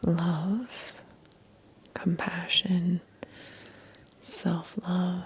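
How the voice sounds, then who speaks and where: Whispering at a very slow pace, the soft-spoken voice sits over noticeable background noise. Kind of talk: ASMR numerology reading / guided meditation. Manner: soft, whispered.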